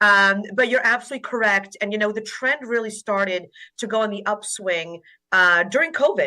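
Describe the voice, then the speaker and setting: The woman's voice has a bright, sharp tone and a fairly high pitch. She keeps a moderate pace with ordinary pitch variation. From Poland. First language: Polish. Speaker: family law attorney. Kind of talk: interview.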